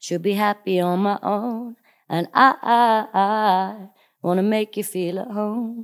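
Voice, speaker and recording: Talking at a very slow pace, a woman uses a medium pitch. The recording is very clean, with a silent background. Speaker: actor. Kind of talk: casual chat. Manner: animated.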